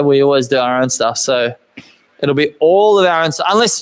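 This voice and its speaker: A man speaks at a moderate pace with a New Zealand accent and lively intonation. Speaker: car builder and YouTuber. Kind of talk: live stream Q&A chat. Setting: home workshop live stream. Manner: casual, rambling with fillers.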